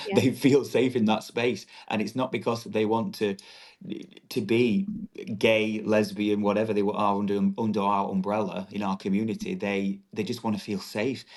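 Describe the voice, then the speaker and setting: A man with a strong northern English accent talks at a moderate pace. His pitch is fairly low and his intonation fairly even. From northern England, Doncaster, South Yorkshire. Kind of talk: podcast interview.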